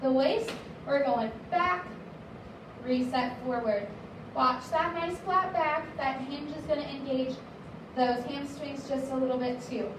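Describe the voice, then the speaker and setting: Against noticeable background noise and audible room echo, the speaker goes at a fairly slow pace, leaving long, frequent pauses, with ordinary pitch variation. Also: woman, high pitch for a woman. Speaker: fitness instructor. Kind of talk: workout class instruction. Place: gym.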